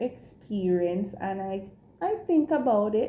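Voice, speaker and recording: A woman speaks with a Jamaican accent at a fairly high pitch. Her voice is somewhat breathy, with lively intonation. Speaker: teacher and vlogger. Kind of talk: casual vlog. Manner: animated.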